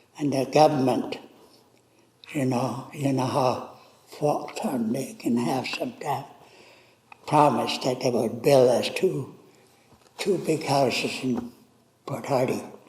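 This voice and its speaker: Noticeable background noise sits under a man speaking at a fairly slow pace. He uses ordinary pitch variation and long, frequent pauses. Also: medium pitch for a man. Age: old. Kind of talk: interview answer, personal life story.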